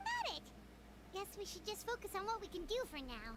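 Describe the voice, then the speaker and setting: This is a put-on character voice. It is squeaky and extremely high-pitched. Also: fairly quick pace. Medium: video game. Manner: casual, direct.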